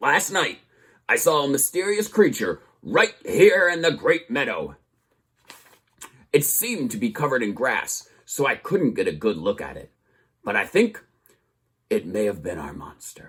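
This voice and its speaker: A put-on character voice from a man, shrill and high-pitched, at a moderate pace with long, frequent pauses. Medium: read story.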